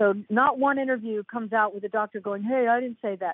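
At a fairly quick pace, a woman speaks with a fairly high pitch and ordinary pitch variation. The sound is dry and close, with no echo.

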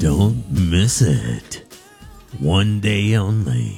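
A man's put-on character voice, very deep and low, over faint music in the background. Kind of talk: promotional announcer. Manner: dramatic announcer delivery.

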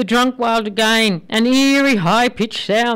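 The clip is plain reading aloud. Nothing else stands out.

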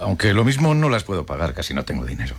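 Over faint background noise, a man uses a put-on character voice at a low pitch, talking fast with very wide pitch swings.

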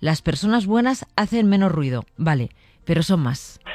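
A woman talks at a moderate pace in a fairly low pitch, her dark, mellow tone carried by big pitch swings.

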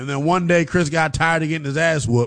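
A man at a fairly quick pace, fairly high-pitched and fairly bright in tone, with ordinary pitch variation

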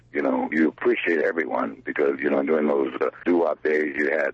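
A man with an American accent speaks at a fairly quick pace in an extremely low pitch, with a slightly husky edge, fairly even intonation, and a dry, close sound with no echo.

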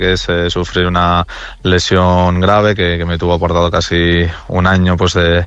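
A man's low-pitched voice with a fairly bright tone at a moderate pace.

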